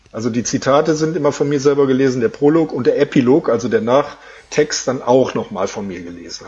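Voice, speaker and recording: The man talks at a fairly quick pace with a fairly high pitch. Noticeable background noise is present. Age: 50s. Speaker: streak runner and author. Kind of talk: interview.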